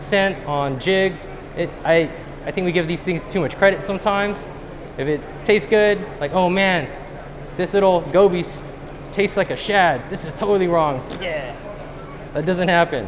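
Over noticeable background noise, a speaker with an American accent talks at a moderate pace with ordinary pitch variation and long, frequent pauses. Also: man, high pitch for a man. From US West Coast. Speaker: professional angler giving a seminar; presenter. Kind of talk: seminar talk to a live audience. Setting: stage with audience at a fishing show. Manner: animated. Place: hall.

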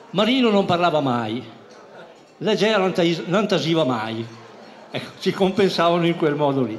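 Over light background noise, a man with a high voice talks at a fairly slow pace, his pitch swinging very widely between long, frequent pauses. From Emilia, Felina area; Emilia. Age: 70s. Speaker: childhood friend; speaker. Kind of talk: storytelling speech. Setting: party hall with audience. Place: hall.

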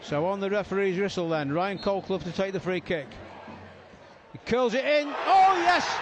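The speech has lively intonation, heard against noticeable background noise. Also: man, high pitch for a man, moderate pace. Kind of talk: live football match commentary. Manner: excitable, rising in pitch at goals and red card.

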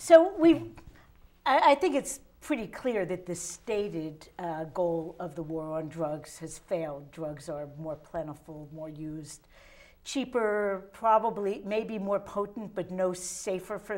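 Speaking at a fairly slow pace, a woman uses lively intonation. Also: big swings in loudness. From Philadelphia. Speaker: local TV talk show host. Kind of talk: casual interview. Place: studio. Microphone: lapel.

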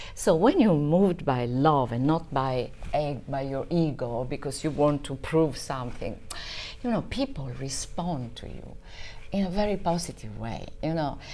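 With an Italian accent, a woman speaks at a moderate pace in a very deep, low pitch and a dark, mellow tone, her intonation lively and her loudness swinging widely over light background noise. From southern Italy (Basilicata). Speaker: marketing professional. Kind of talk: casual interview chat. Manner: halting, with many fillers. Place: home room.

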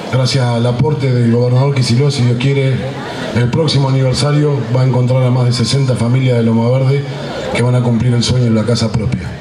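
Music plays in the background. A man speaks with monotone, flat intonation. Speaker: municipal mayor. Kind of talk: public speech. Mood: earnest, celebratory closing. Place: street. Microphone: podium.

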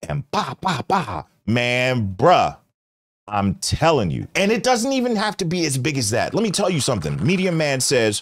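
A man speaks at a moderate pace with vocal fry and very wide pitch swings. The background is quiet. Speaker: livestream host. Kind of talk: casual livestream commentary. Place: studio. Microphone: studio mic.

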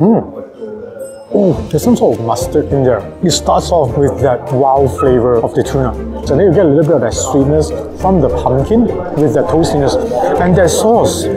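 Long, frequent pauses break up a man's moderate pace. Clear music plays in the background. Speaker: food reviewer. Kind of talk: casual food review commentary. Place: cafe.

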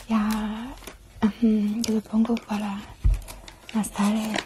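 A woman's soft-spoken whispering at a very slow pace, with noticeable background noise. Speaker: ASMR creator playing a friend. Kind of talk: ASMR roleplay. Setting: studio microphone. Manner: whispered, soft-spoken. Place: home room. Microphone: lapel.

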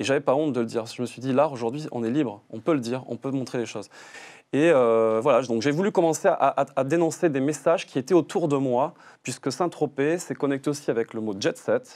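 Pitch shifts in a normal way against a quiet background. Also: man. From France, Toulouse; France. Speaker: artist photographer; guest. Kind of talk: TV interview. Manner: halting, many fillers and repetitions. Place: studio. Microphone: lapel.

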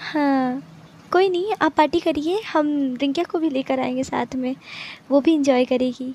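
Speaking at a very slow pace, a woman uses lively intonation in a dry recording with no echo. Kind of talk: acted phone conversation, comedy skit. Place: home room. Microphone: phone near.

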